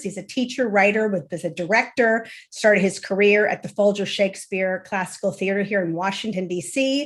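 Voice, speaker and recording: Set against a quiet background, a woman at medium pitch talks with fairly even intonation in a normal speaking voice. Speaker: founder of education reform group, webinar moderator. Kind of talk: online panel moderation.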